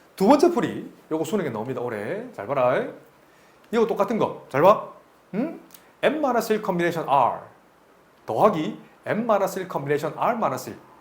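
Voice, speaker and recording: With audible room echo, a man speaks at a fairly quick pace in a high voice, with very wide pitch swings and long, frequent pauses. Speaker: math tutor. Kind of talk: lecture. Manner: fast.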